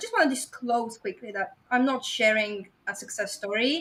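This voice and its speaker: A woman with a strong Bulgarian accent at a high pitch, moderate pace and lively intonation. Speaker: website investor. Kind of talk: podcast interview presentation.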